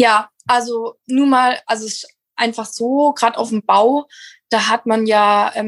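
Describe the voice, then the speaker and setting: A woman's high voice with ordinary pitch variation, dry and close with no echo. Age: 20s. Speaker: landscape gardener in family business. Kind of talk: interview. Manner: animated.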